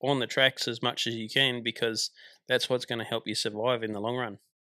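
A man with an Australian accent speaks at medium pitch in a monotone, flat intonation. The sound is dry and close with no echo, on a very clean recording with a silent background. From Tasmania, Australia. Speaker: truck driver and army veteran. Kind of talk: casual interview. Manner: hesitant, frequent fillers.

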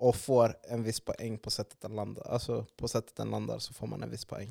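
This is a man talking at a moderate pace. The sound is dry and close, with no echo. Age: 20s. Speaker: podcast host. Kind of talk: casual chat.

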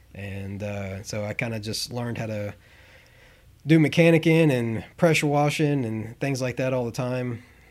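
A man with a Southern US accent speaks at a moderate pace, his medium-pitched voice showing ordinary pitch variation. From Tennessee. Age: 30s. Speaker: equipment rental analytics manager. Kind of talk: interview. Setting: in person at a rental branch.

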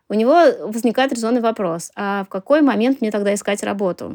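Here is a woman with an unremarkable speaking voice, fairly high in pitch with ordinary variation. She keeps a moderate pace in a very clean recording with a silent background. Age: 30s. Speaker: journalist and marketer. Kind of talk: interview testimony.

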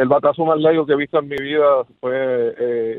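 A man speaks in a Puerto Rican accent. His intonation is monotone and flat. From Puerto Rico. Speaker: radio caller. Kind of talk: phone-in chat.

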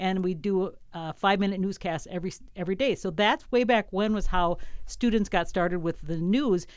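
A woman speaks fairly quickly at a medium pitch in a normal speaking voice. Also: ordinary pitch variation. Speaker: radio station operations director and radio host. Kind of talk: casual interview. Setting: radio studio.

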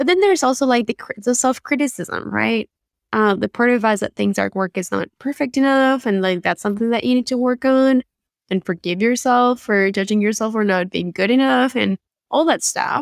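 In a very clean recording with a silent background, a woman speaks at a moderate pace with fairly high pitch, the sound dry and close with no echo. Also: ordinary pitch variation. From Argentina. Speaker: photographer and confidence coach. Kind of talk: podcast interview.

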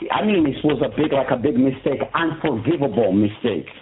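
A man with a fairly high pitch speaks at a moderate pace while noticeable background noise runs underneath. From Morocco. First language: Moroccan Arabic. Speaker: prison inmate. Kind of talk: interview testimony. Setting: phone call. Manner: halting.

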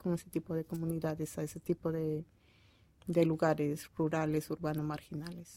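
A woman's very deep, low voice, dark and mellow in tone, flat and monotone at a moderate pace. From Peru, Piura (northern coast). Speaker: childcare worker. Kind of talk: interview.

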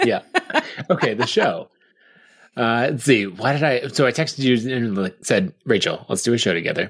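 A man with an American accent talks at a fairly quick pace in an ordinary speaking voice of medium pitch. The recording is very clean, with a silent background. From Idaho, near Boise. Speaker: podcast co-host, software entrepreneur. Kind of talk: casual chat.

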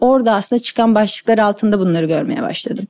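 The voice belongs to a woman. It has a dark, mellow tone. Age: 30s. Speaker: motorcycle racer. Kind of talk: interview.

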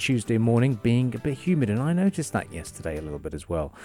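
A man's upbeat tone at a very fast pace, with music in the background. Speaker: radio host. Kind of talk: radio dj patter. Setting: studio. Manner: chatty, upbeat, conversational; disfluent, rambling with fillers and repeats.

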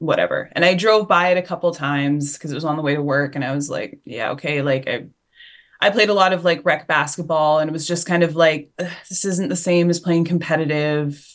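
Her intonation fairly even, a woman with a very deep, low pitch speaks with a Western Canadian accent. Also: quiet background. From Canada, rural Alberta. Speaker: football coach. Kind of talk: casual interview.

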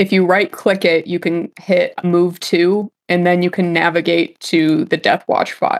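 Her voice, a woman's, sits at a medium pitch. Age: 20s. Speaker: role-playing game player. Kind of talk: tabletop role-play session.

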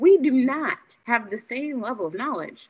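A woman speaking at a fairly slow pace. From Haitian heritage. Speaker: speech-language pathologist, podcast host. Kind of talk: interview.

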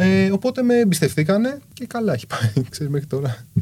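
The voice is somewhat breathy and moves at a moderate pace. Its pitch swings very widely. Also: man. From Greece, Kallithea (Athens). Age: 30s. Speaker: street artist. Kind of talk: casual chat.

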